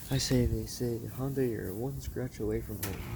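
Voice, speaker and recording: A mumbling man with a very deep, low pitch, amid audible room echo and noticeable background noise. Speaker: vlogger. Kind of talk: casual monologue.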